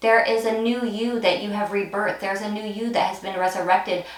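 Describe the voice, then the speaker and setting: A woman with a fairly high voice talks fairly quickly, with audible room echo and noticeable background noise. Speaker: tarot card reader. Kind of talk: pick-a-card tarot reading to camera. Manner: halting, many fillers and restarts.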